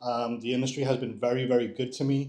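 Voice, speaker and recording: His intonation monotone and flat, a man of medium pitch talks at a fairly quick pace. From New York area, born in Dominican Republic. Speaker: home inspector. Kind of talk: presentation to live audience. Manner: conversational.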